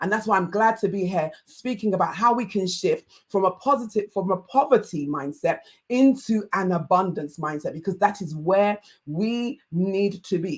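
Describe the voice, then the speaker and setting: A woman speaks at a moderate pace with a Yoruba accent. Her medium-pitched voice is somewhat breathy. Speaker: life coach. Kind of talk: online masterclass talk. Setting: livestream.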